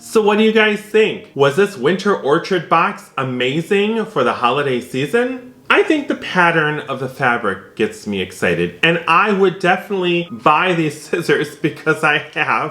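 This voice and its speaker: Music plays in the background as a man with an American accent speaks in a high, warm, enthusiastic voice at a moderate pace, with very wide pitch swings and hardly any pauses. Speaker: quilting YouTuber. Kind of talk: product unboxing video.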